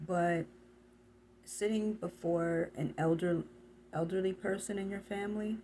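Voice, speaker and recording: Soft-spoken and somewhat breathy, a woman with a dark, mellow tone talks at a very slow pace with fairly even intonation. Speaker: tarot reader. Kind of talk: tarot reading. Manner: halting.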